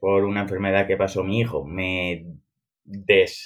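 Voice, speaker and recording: With fairly even intonation, a man speaks very slowly. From Alcoy, Valencian Community, Spain. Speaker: crypto investor and metaverse builder. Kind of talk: podcast interview.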